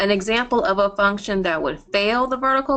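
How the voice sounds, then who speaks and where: The tone of this woman's voice is bright and sharp. She talks at a medium pitch. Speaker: math professor. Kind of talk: online review session lecture.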